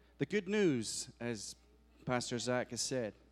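A man with a Scottish accent speaks at a medium pitch and moderate pace. The recording is very clean, with a silent background. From Scotland. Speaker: guest preacher. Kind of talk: sermon. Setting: church.

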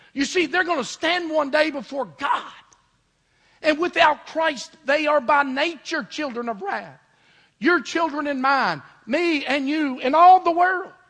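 At a fairly slow pace, a man speaks at an extremely high pitch. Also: ordinary pitch variation. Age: 50s. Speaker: pastor. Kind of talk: sermon. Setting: church.

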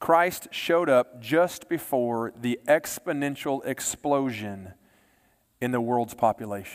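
The speaker talks very slowly in a Texan accent. Pitch varies in an ordinary way. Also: man, medium pitch for a man. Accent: Texan American. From Texas, Baytown area. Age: 40s. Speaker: pastor. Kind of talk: sermon.

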